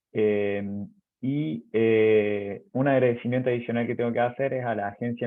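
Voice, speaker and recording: This man speaks with an Argentine accent. His intonation stays fairly even. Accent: Argentine accent, noticeable in Chile. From Argentina, Córdoba province. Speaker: university professor and researcher. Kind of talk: webinar presentation. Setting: online webinar. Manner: hesitant with many fillers.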